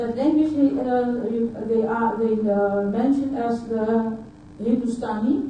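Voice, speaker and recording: At a very slow pace, a woman with a fairly high pitch and a dark, mellow tone speaks with fairly even intonation amid audible room echo. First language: Dutch. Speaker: conference speaker. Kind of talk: conference talk. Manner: halting.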